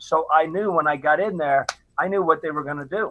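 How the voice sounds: Talking at a fairly quick pace, a man uses a fairly high pitch with ordinary pitch variation.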